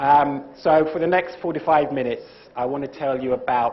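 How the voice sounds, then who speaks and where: In a room with audible echo, a man speaks at a medium pitch and a moderate pace with fairly even intonation. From UK. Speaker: lecturer, former TV presenter. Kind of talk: lecture.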